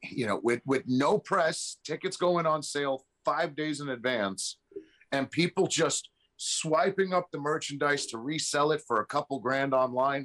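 A man with a New York accent, fairly high pitch and ordinary pitch variation, recorded dry and close with no echo. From New York City. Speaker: podcast guest. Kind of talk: casual chat.

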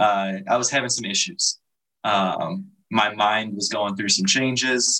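A man with a bright, sharp tone and an American accent. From US Midwest, Chicago area. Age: 20s. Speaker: air force analyst. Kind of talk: casual chat.

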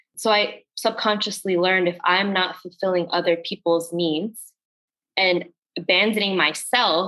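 At a fairly slow pace, a woman talks in an unremarkable speaking voice, fairly low in pitch with ordinary pitch variation. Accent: American. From northern New Jersey, US. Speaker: coach and healing facilitator. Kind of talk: casual chat.

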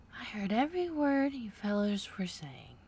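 In a put-on character voice, a female-sounding speaker at medium pitch swings very widely in pitch at a moderate pace. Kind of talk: rustic, folksy. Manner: feeble, weak.

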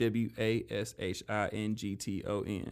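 The recording is very clean, with total silence in the background. A man does the talking. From US South, Memphis, Tennessee. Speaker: stand-up comedian. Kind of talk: casual interview.

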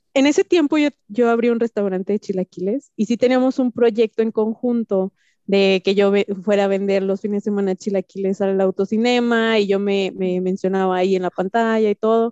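In a normal speaking voice, a woman speaks at a moderate pace with medium pitch. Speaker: entrepreneur. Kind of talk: casual chat.

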